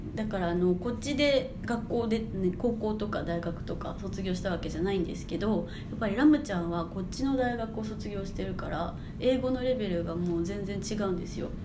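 Over noticeable background noise and audible room echo, a woman speaks at a fairly quick pace with hardly any pauses. Her pitch is medium, with ordinary variation. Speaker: podcast host. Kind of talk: casual chat.

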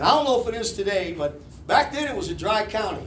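Amid noticeable background noise, a man with a high voice talks at a very fast pace, his pitch swinging very widely. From Kentucky. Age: 50s. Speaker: pastor. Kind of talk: sermon. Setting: church.

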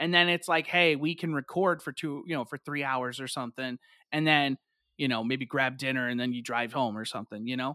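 A normal speaking voice at a fairly quick pace, very clean recording with a silent background. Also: man, medium pitch for a man, ordinary pitch variation. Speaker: podcast host. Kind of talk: casual chat.

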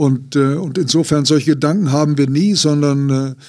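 At a very slow pace, a man speaks in a fairly high pitch with fairly even intonation. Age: 60s. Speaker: basketball coach. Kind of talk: interview.

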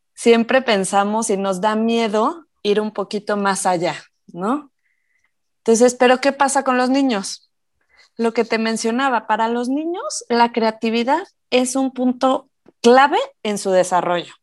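A woman's fairly high-pitched voice, an ordinary speaking voice, at a fairly slow pace with ordinary pitch variation, on a very clean recording with a silent background. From Mexico, Morelia (Michoacán). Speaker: mom and educational toy maker. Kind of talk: casual interview.

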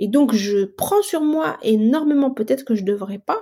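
Speaking fairly slowly, a woman with a dark, mellow tone and a fairly high pitch uses lively intonation. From Algeria. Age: 40s. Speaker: engineer and entrepreneur. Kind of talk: casual interview.

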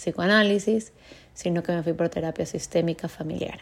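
There is a woman with an ordinary speaking voice. Her pitch is medium, with ordinary pitch variation. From Ecuador (Cuenca, moved to Guayaquil at 15). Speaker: psychologist, podcast host. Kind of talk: personal storytelling monologue. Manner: casual, with fillers and self-interruptions.

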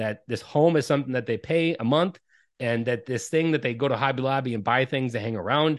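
Against a quiet background, a man with a normal speaking voice talks at a fairly quick pace, at medium pitch, with ordinary pitch variation. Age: 30s. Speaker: parenting coach. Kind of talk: casual interview conversation.

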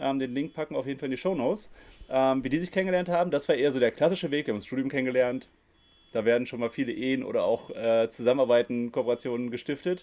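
Pitch rises and falls in an ordinary way for this man. He talks very fast. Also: medium pitch for a man. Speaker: podcast host. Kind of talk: interview. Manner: halting, with pauses.

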